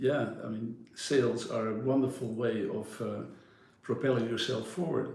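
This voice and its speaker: Audible room echo surrounds a man speaking with a Dutch accent at a fairly slow pace. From Netherlands, Amersfoort. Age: 60s. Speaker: yacht broker. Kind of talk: interview.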